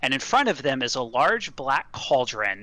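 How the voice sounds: This is a natural reading voice. It carries through the clip.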